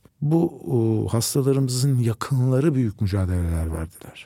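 A man speaks at a fairly slow pace in a somewhat breathy voice. His tone is dark and mellow, his intonation lively. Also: very clean recording, silent background. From Turkey, Nazilli (Aegean). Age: 60s. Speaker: oncologist doctor. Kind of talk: casual interview chat.

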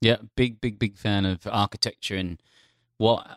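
Recorded dry and close with no echo and a silent background in a very clean recording, the speech runs at a moderate pace with ordinary pitch variation. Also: man. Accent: Australian. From Australia. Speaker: trend analyst for brands. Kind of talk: casual interview. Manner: animated.

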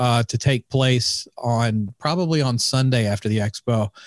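Recorded dry and close with no echo and a silent background, a man talks in a plain, everyday voice at medium pitch with ordinary pitch variation. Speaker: podcaster and event organizer. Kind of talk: casual chat.

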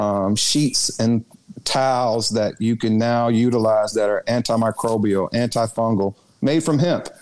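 A man speaks fairly slowly with a Southern US accent, at a medium pitch. His intonation is fairly even and his loudness very even. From Arkansas, Little Rock. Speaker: former state politician and cannabis entrepreneur. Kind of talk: interview.

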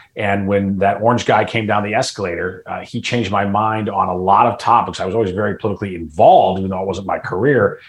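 Hardly pausing, a man rushes along at a very fast pace, his fairly low pitch held in fairly even intonation. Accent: American. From US Midwest, Chicago suburbs. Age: 50s. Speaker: political commentator. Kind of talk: interview discussion.

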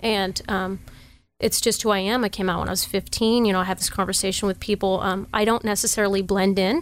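A plain, everyday voice with an American accent moves at a fairly quick pace and fairly even intonation. The recording is very clean, with a silent background. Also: woman. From Sacramento, California. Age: 30s. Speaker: sheriff's deputy and local politician. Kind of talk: casual chat.

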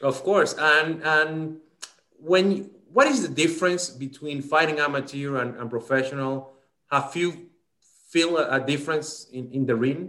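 Speaking at a fairly slow pace, a man uses a fairly high, bright, sharp voice with ordinary pitch variation. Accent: Spanish. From Dominican Republic. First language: Spanish. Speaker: sports podcast host. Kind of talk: bilingual interview. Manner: halting.

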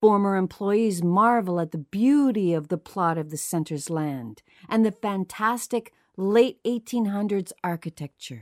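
Lively intonation marks a woman's plain, everyday voice as she speaks at a fairly slow pace with a dry, close sound with no echo. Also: medium pitch for a woman, very clean recording, silent background. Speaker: podcast host. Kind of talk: true-crime narration, scripted and read aloud in a measured, storytelling tone. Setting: studio. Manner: measured, somber and hushed, building an eerie, ominous mood; steady and deliberate, clearly enunciated.

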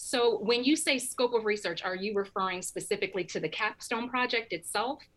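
In a plain, everyday voice, a woman speaks at a fairly quick pace with hardly any pauses, her fairly high pitch showing ordinary variation. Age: 30s. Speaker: university research administrator. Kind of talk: radio interview.

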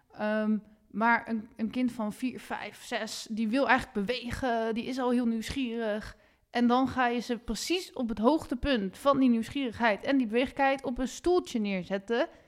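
Recorded very cleanly against a silent background, a woman with an unremarkable speaking voice talks at a fairly slow pace, fairly high in pitch and with ordinary pitch variation. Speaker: podcast host. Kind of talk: interview. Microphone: sounds echoey.

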